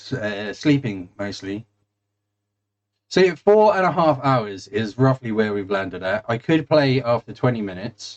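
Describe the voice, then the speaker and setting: A man with a southern English accent is heard in a dry, close sound with no echo. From England, East Anglia (Suffolk). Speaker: gaming streamer. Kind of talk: casual chat. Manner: halting, many fillers.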